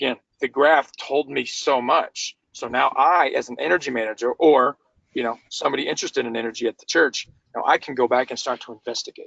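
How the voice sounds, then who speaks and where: The speech moves at a fairly quick pace, with big swings in loudness. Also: man. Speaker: energy management consultant. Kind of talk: webinar presentation. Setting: webinar. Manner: fast.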